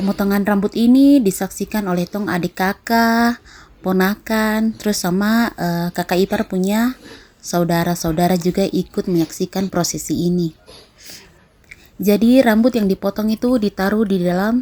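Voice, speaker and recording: A woman with a dark, mellow tone and a medium pitch speaks at a moderate pace with ordinary pitch variation, recorded with a dry, close sound and no echo. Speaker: vlogger. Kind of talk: vlog narration. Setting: outdoors at a beach.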